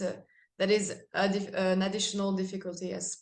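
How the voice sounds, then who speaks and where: A woman speaks at a medium pitch and a moderate pace. Audible room echo is present. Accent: French. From France. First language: French. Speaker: metal band singer. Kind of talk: interview. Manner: halting.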